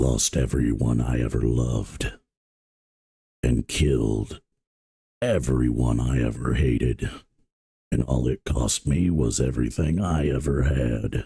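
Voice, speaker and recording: In a put-on character voice, a man delivers lines in a dramatic tone at a fairly slow pace, with a very deep, low pitch and long, frequent pauses. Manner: dramatic, gravelly.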